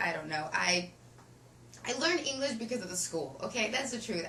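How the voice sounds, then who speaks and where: Very wide swings in pitch from a woman's voice amid clear background noise. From Ukraine. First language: Russian. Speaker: actress. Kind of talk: interview answer.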